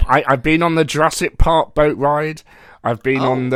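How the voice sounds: Fairly high in pitch, a man with a British accent speaks at a moderate pace with fairly even intonation.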